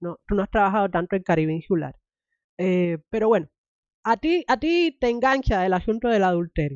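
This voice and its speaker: In a normal speaking voice, a woman at medium pitch talks at a moderate pace with lively intonation. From Cuba. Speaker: podcast host. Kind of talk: interview.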